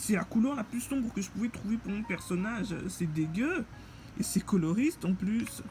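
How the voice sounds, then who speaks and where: A woman's fairly high voice with lively intonation at a moderate pace, music playing behind her. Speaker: game reviewer. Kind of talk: casual gameplay commentary. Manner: halting.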